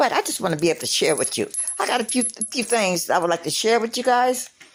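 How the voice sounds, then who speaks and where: Over noticeable background noise, a woman talks very fast at a fairly high pitch. Her intonation is lively. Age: 60s. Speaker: aspiring writer and poet sharing on social media. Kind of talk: casual monologue with poetry reading. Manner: halting, with many fillers.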